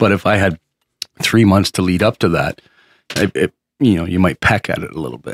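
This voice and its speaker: There's a man with a very deep, low voice, vocal fry and ordinary pitch variation, moving at a fairly quick pace between long, frequent pauses. The sound is dry and close, with no echo. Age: 40s. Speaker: podcast co-host. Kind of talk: casual chat. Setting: studio.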